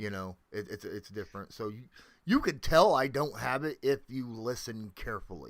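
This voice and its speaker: A man talks at a moderate pace with big swings in loudness, in a very clean recording against a silent background. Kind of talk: casual chat.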